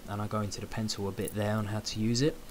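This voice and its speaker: Quiet and with fairly even intonation, a man speaks in a British accent. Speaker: photo editing tutorial creator. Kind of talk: tutorial. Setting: at home late at night.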